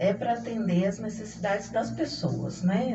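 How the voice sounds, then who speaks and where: A woman at a fairly slow pace with ordinary pitch variation, music in the background and audible room echo. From Brazil, Minas Gerais (Belo Horizonte). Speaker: judge. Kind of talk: radio interview.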